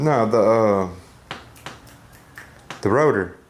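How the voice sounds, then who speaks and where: A man's voice at medium pitch comes through noticeable background noise. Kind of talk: casual talk.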